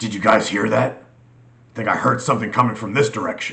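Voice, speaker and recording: A man puts on a raspy character voice at a medium pitch. He talks at a fairly quick pace with fairly even intonation. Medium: read story.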